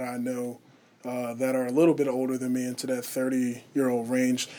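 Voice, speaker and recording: A man with an unremarkable speaking voice talks at a fairly quick pace and a medium pitch. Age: 20s. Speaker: college student athlete and church elder. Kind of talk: radio interview. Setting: radio studio booth.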